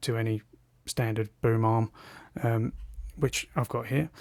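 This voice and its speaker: At medium pitch and with fairly even intonation, a man speaks in a dry, close, echo-free recording that is very clean against a silent background. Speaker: tech reviewer. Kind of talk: product review.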